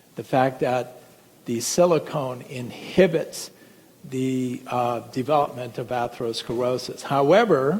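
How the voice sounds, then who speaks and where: Over noticeable background noise, a man with a medium pitch talks at a fairly slow pace with ordinary pitch variation. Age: 60s. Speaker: physician. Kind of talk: lecture.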